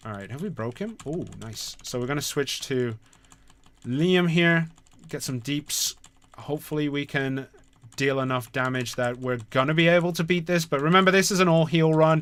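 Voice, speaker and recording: With ordinary pitch variation, a man speaks at a moderate pace in a fairly high pitch. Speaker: game community manager streamer. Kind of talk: live gameplay stream commentary. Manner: hesitant, many fillers; quiet while concentrating.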